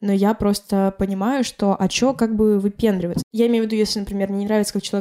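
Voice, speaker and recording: In a monotone, flat delivery, a woman with a medium pitch and a dark, mellow tone talks at a very fast pace. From Karelia, Russia. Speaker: blogger and DJ. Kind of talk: casual chat. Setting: at host's home.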